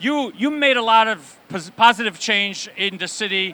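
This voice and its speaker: Amid noticeable background noise, a man uses a raised, projected voice at a fairly slow pace with ordinary pitch variation. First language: Yiddish. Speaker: rabbi and event host. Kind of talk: live event interview.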